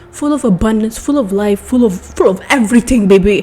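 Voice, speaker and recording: A woman talks at a fairly quick pace in a fairly high, animated voice with ordinary pitch variation, over noticeable background noise. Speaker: podcast host. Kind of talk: casual monologue.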